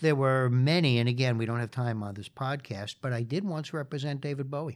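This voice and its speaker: A man's medium-pitched voice, with ordinary pitch variation, moves at a moderate speed. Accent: New York. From New York City (Queens). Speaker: lawyer and law professor. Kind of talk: interview. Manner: frequent fillers.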